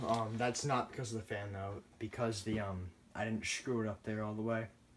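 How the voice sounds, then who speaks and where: A man speaks at a moderate pace and a medium pitch. Noticeable background noise is present. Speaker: ceiling fan collector. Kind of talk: casual ceiling fan demo to camera. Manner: sluggish.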